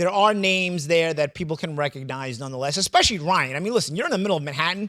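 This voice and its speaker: A man talks very fast in a high voice with a New York accent. The recording is very clean, with a silent background. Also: ordinary pitch variation. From New York City. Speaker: boxing pundit. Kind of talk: casual panel discussion. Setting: studio. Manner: halting, many repetitions.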